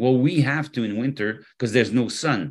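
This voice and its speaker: Against a quiet background, a man talks with a French accent at a moderate pace. His medium-pitched voice has lively intonation. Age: 60s. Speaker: health product formulator and company executive. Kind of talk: interview.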